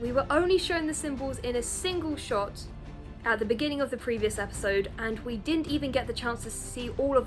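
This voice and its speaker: With lively intonation and music playing in the background, a woman talks at a moderate pace. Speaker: game show reviewer. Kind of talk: casual review talk to camera.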